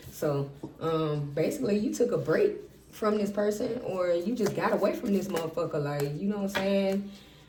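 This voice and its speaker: With noticeable noise behind it, the speaking goes at a moderate speed. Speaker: tarot reader. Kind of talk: tarot reading. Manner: casual, profane; stumbling over words.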